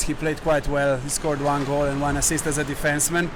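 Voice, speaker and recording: A man's fairly high-pitched, monotone voice, flat in intonation, with audible room echo and noticeable background noise. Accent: Slovenian. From Slovenia. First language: Slovenian. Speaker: hockey player. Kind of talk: interview. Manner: halting.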